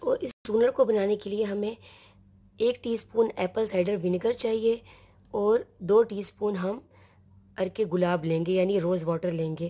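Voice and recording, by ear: A woman speaks at a moderate pace and medium pitch, with ordinary pitch variation. Her dark, mellow tone has a slightly husky edge, on a very clean recording with a silent background.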